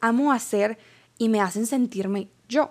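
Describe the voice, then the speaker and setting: A woman talks very slowly, her intonation fairly even. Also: very clean recording, silent background. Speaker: podcast host. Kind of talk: personal reflection monologue.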